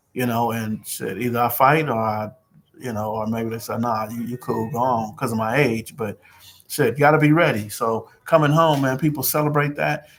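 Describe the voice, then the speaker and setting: A man with medium pitch talks at a moderate speed, his pitch varying in an ordinary way. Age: 60s. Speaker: community peacemaker livestreamer. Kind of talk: casual livestream talk. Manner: casual, animated.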